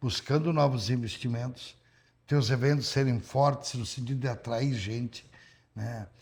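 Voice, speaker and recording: A man's somewhat breathy voice at medium pitch with ordinary pitch variation. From Rio Grande do Sul, Brazil. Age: 70s. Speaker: politician, former mayor. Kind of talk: interview.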